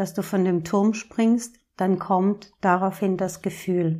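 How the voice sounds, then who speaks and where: A woman's medium-pitched voice, monotone and flat, at a very slow pace on a very clean recording with a silent background. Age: 40s. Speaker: podcast host, emotions coach. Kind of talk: solo podcast monologue, advice talk.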